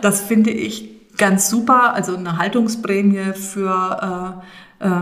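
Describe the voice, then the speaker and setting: A woman talks at a very slow pace with fairly even intonation. Room echo is audible around her voice. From Rhön region, Germany. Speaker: landscape conservation manager. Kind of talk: interview. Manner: halting, many fillers.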